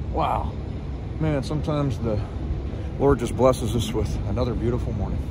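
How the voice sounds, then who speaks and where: The man's pace is fairly quick. The sound is dry with no echo, with noticeable background noise. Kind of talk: casual vlog chat. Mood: cheerful, upbeat. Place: open country. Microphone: phone near.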